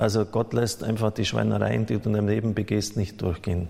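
A man's fairly low-pitched voice with monotone, flat intonation. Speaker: priest. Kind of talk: sermon, earnest and pastoral, addressing the congregation directly. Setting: church. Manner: earnest, admonishing, explanatory; conversational, occasionally stumbling and self-correcting.

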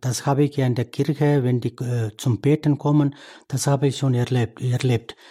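On a very clean recording with a silent background and a dry, close sound with no echo, a man speaks fairly slowly at a fairly high pitch, somewhat breathy, with a dark, mellow tone and ordinary pitch variation. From India. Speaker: priest. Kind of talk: interview. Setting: studio. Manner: halting.

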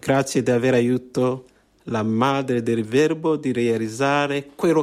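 Speaking at a fairly slow pace, a man uses a medium pitch and fairly even intonation. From Rwanda. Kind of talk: interview via interpreter.

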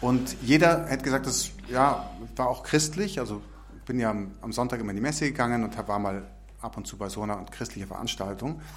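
Audible room echo surrounds a man talking at a fairly quick pace with big swings in loudness. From Munich and Tyrol. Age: 40s. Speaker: missionary. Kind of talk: testimony. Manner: halting.

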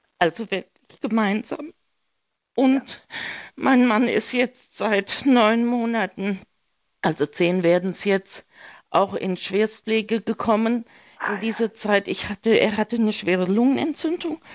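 Pausing long and often, a woman speaks at a fairly slow pace and a fairly high pitch with ordinary pitch variation. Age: 60s. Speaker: caller caring for sick husband. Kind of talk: radio call-in. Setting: phone call.

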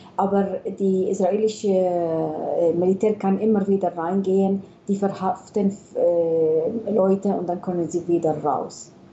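A woman speaks with an Arabic accent at a very slow pace. Her intonation stays fairly even. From Palestine, Bethlehem. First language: Arabic (speaking German). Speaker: pediatrician, hospital chief physician. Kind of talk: radio interview. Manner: hesitant, many fillers.

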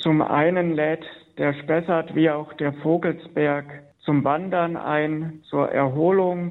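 Delivery is very slow, with very even loudness and monotone, flat intonation. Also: man, fairly high pitch for a man. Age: 30s. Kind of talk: radio interview. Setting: phone call. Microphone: telephone line.

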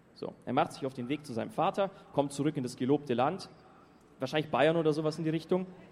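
This man speaks at a very fast pace. His pitch sits fairly high. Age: 20s. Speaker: youth pilgrim speaker. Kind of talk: testimony talk to audience. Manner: casual, lively.

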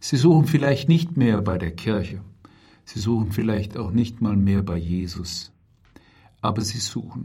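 A man speaks at a fairly slow pace with long, frequent pauses and lively intonation. His fairly low voice is somewhat breathy, with a dark, mellow tone. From Germany, Heidelberg. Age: 50s. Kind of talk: religious talk. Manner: calm, measured.

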